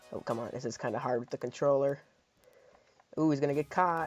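A man speaks at a fairly high pitch. Music is in the background. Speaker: gaming video creator. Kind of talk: casual gameplay commentary.

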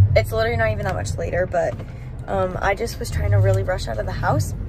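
A woman speaks over light background noise. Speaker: beauty vlogger. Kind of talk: casual vlog chat.

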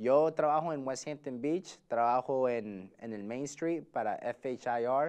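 A man speaks against a quiet background, his pitch rising and falling in an ordinary way. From United States, Salvadoran family. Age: 20s. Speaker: real estate agent; interview guest. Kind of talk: interview. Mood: relaxed, friendly. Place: studio. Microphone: lapel.

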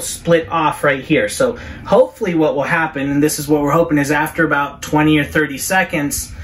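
A man talks at a moderate pace. Light background noise sits under his voice. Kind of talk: tutorial. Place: bathroom. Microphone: camera far.

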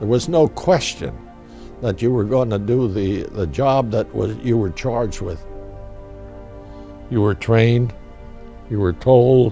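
Faint music plays behind a man with an American accent, who speaks at a medium pitch and a fairly slow pace with long, frequent pauses. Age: 80s+. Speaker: war veteran. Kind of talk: interview answer. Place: home room.

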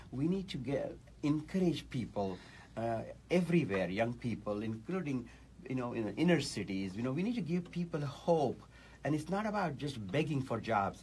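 Somewhat breathy and fairly high-pitched, a man talks at a moderate pace with very wide pitch swings over light background noise. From India. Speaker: political candidate; candidate. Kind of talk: radio interview. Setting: radio studio. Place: studio. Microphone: studio mic.

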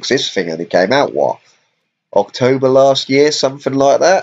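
This is a man speaking. He has a British accent. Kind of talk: casual gaming stream commentary. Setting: live stream while playing on laptop. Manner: casual, hesitant with fillers.

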